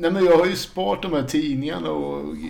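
A man's voice comes with audible room echo. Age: 50s. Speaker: record collector and harmonica player in a tribute band. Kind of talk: casual chat.

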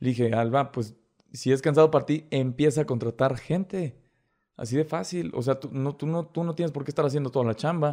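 A man with a Mexican accent and a dark, mellow tone, fairly quick pace, ordinary pitch variation, quiet background. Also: fairly high pitch for a man. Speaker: TikTok creator. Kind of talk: casual chat.

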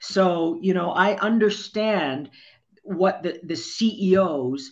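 With a Canadian accent, a woman speaks at a fairly low pitch with ordinary pitch variation. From Ontario, Canada (rural area near Barrie). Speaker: former radio news director. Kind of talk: casual interview. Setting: studio.

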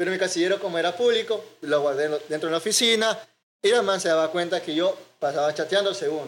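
A man with a coastal Ecuadorian accent talks at a very fast pace and a high pitch with ordinary pitch variation. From Ecuador, Manta (coastal Manabí). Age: 20s. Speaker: IT student and media producer. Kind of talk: casual chat.

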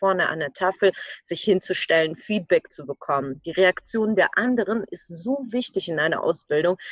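A woman speaks in a plain, everyday voice of medium pitch with ordinary pitch variation. The sound is dry and close, with no echo. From Ukraine. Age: 20s. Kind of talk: podcast interview.

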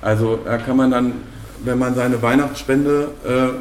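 Amid noticeable background noise and audible room echo, a man at medium pitch speaks at a moderate pace with monotone, flat intonation. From Bochum, Ruhr area, Germany. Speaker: podcast host. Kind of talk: casual chat. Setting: café.

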